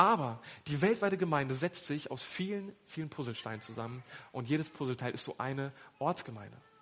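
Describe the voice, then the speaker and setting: This man has an ordinary speaking voice, pitched fairly high. He talks at a fairly quick pace with lively intonation. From northern Germany (Hannover). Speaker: pastor. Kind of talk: sermon.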